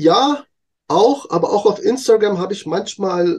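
With very wide pitch swings, a man talks at a very slow pace. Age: 40s. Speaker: content creator. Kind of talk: interview.

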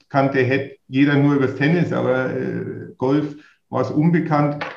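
The speaker is a man with a fairly high pitch. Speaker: golf association executive. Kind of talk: interview.

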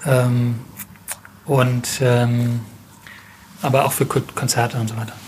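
A man at medium pitch with monotone, flat intonation, a very slow pace and long, frequent pauses, amid noticeable background noise. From Germany, Mannheim. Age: 30s. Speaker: family business owner, retailer. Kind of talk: interview. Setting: on location at the store. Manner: hesitant, many filler sounds.

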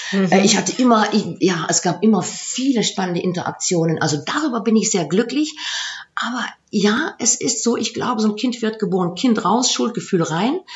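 Over noticeable background noise, a woman speaks at a moderate pace. Her pitch is fairly high and her intonation lively. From Aachen area, Germany / Netherlands border. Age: 50s. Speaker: coach and former HR executive. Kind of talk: interview. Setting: in person in Maastricht.

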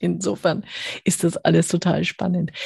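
A woman talks at a fairly low pitch with vocal fry. The sound is dry and close, with no echo. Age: 50s. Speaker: podcast host reviewing business books. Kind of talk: casual interview.

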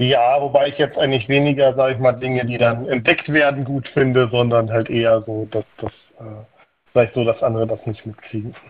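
A man at medium pitch, fairly quick, with fairly even intonation. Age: 30s. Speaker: caller. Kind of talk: casual chat. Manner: halting.

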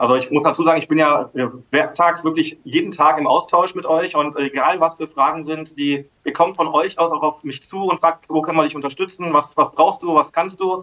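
A man's bright, sharp voice at a fairly high pitch, with fairly even intonation and a moderate pace. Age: 30s. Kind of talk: interview.

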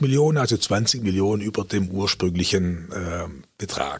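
A man's somewhat breathy, fairly low voice comes through a very clean recording with a silent background. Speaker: retired district administrator. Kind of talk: interview. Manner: hesitant with fillers.

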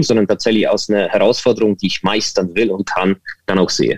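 A man talks at a fairly quick pace. His sound is dry and close, without any echo. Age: 40s. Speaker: digital agency consultant. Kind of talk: interview. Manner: hesitant, many fillers.

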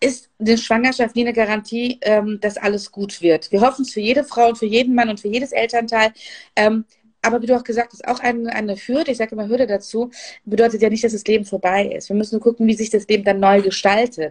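Very fast and with fairly even intonation, a woman speaks at a fairly high pitch. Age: 40s. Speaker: business coach and podcast host. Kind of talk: interview. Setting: Instagram live video.

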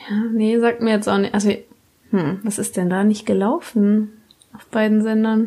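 Her intonation remains fairly even. The woman's fairly high voice moves at a moderate pace. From Baden-Württemberg. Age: 20s. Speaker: podcast guest. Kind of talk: casual chat.

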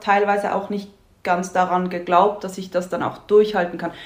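Audible room echo surrounds a woman's voice. Her intonation is fairly even. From Switzerland. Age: 30s. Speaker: marketing office worker, coaching client. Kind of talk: casual interview chat.

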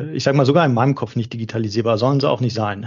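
A man with an unremarkable speaking voice, medium in pitch, with fairly even intonation. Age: 40s. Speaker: charity executive. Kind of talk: interview.

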